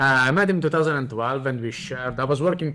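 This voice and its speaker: An Italian accent with ordinary pitch variation. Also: man. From Italy. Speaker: coffee business owner. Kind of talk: casual chat.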